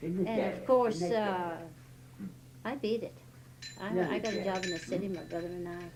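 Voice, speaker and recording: Over noticeable background noise, a woman with a medium pitch speaks at a moderate pace with ordinary pitch variation and long, frequent pauses. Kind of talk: interview answer.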